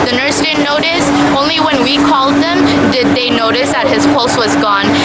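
A woman at a moderate pace over loud background noise. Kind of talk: interview answer. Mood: upset, earnest. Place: street. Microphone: phone near.

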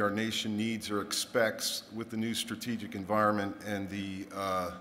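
A man talks at a fairly slow pace. Light background noise sits behind him. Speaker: military commander on panel. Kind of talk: panel discussion answer. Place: stage. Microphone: podium.

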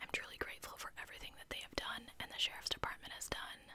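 A soft-spoken woman whispers at a fairly quick pace. The sound is dry with no echo, though background noise is noticeable. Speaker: true crime storyteller. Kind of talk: true crime narration reading quotes. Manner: soft close-mic ASMR whisper. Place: home room. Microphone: studio mic.

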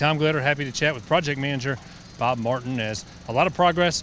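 Speaking at a moderate pace, a man uses a medium pitch with ordinary pitch variation and a fairly bright tone.

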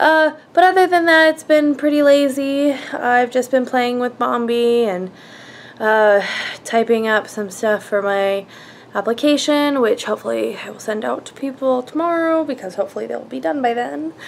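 A woman with a high pitch speaks at a moderate pace with big swings in loudness over light background noise. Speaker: vlogger. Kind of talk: casual vlog chat. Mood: relaxed, lazy-day tone. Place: home room. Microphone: phone near.

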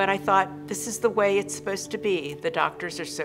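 A woman is speaking. Music plays clearly behind her. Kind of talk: interview answer. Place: studio.

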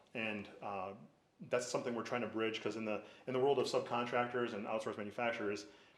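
Talking at a very fast pace, a man with a medium-pitched voice keeps a flat monotone while audible room echo surrounds him. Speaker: business owner applying for a permit. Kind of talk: public hearing presentation.

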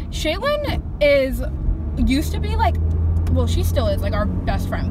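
A woman is heard over loud background noise, her voice dry with no echo. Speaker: vlogger. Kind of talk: casual vlog chat. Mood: relaxed, chatty. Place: car. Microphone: phone near.

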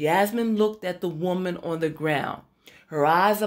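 With ordinary pitch variation, a person reads aloud in a natural voice.

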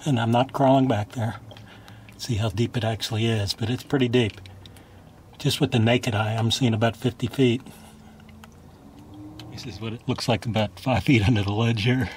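Over light background noise, a man speaks at a moderate pace with fairly even intonation and long, frequent pauses. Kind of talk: casual vlog commentary. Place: waterside. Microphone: phone near.

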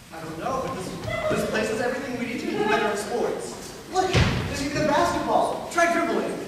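Fairly quick speech over loud background noise, with audible room echo. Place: stage. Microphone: camera far.

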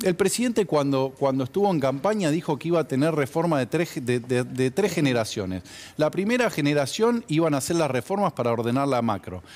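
Pitch swings very widely in this speech, which moves at a fairly quick pace. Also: man. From Argentina. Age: 40s. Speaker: textile business owner and industry advocate; guest. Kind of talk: TV news interview. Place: studio. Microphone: lapel.

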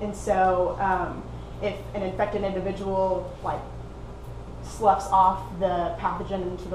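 A woman with an Oklahoma accent at a moderate pace, amid noticeable background noise and audible room echo. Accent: American, Oklahoma. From Oklahoma, US. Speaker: PhD researcher in herpetology; speaker. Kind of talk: lecture; Q&A answers. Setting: seminar with audience. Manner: hesitant, many fillers. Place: meeting room. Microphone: camera far.

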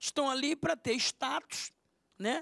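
In a raised, projected voice with a bright, sharp tone, a man speaks at an extremely high pitch and a moderate pace, with a quiet background and a dry sound with no echo. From Brazil. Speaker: pastor. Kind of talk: panel debate. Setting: TV studio. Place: studio. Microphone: handheld.

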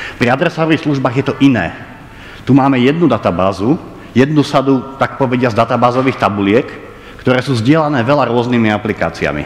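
A man speaks at a very fast pace. His pitch varies in an ordinary way. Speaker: lecturer. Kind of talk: lecture. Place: hall.

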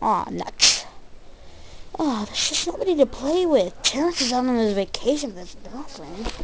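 A cartoonish character voice, female-sounding and fairly high in pitch, talks at a moderate pace. Noticeable background noise runs underneath. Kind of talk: comic cartoon voice acting. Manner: whiny, exclaiming, impatient.

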